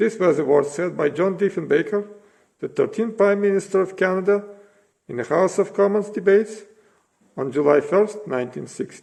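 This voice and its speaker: The man's voice is high-pitched, moving at a moderate pace with ordinary pitch variation. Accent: non-native. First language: not English. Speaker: citizen giving a political speech. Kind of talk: prepared speech. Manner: impassioned, rhetorical.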